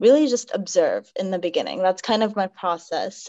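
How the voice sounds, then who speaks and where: A woman's dark, mellow voice with ordinary pitch variation, moderate pace and a quiet background. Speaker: podcast guest. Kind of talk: interview answer. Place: home room. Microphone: video call.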